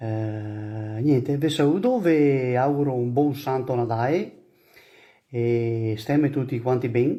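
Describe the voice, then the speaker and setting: A man's medium-pitched voice moves very slowly, his intonation fairly even. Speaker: emigrant. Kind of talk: recorded video greeting. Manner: casual.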